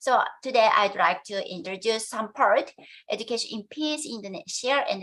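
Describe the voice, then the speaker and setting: This woman has a fairly high pitch and a Japanese accent. Her intonation is lively. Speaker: education professor. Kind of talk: conference presentation. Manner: halting, many hesitations.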